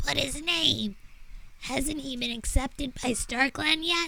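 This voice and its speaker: A put-on character voice, female-sounding, high-pitched and croaky, at a fairly slow pace. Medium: virtual streamer. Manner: grumbling.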